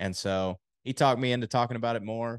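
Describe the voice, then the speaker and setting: A man with a normal speaking voice and an American accent, at a moderate pace with fairly even intonation, in a dry, close recording with no echo and a quiet background. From Texas. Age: 20s. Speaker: health insurance agent. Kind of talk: interview.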